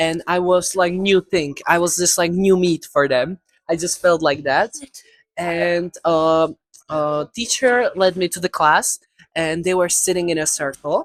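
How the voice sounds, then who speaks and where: Dry and close with no echo, this is a woman speaking at a fairly slow pace with a non-native accent. Her pitch is fairly low, with ordinary pitch variation. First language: not English. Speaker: video creator. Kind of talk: casual chat. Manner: halting.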